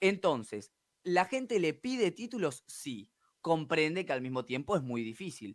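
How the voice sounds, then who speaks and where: Swinging very widely in pitch, a man speaks at a moderate pace over a quiet background. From Argentina. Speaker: sports reporter. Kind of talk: sports news report. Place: studio. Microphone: studio mic.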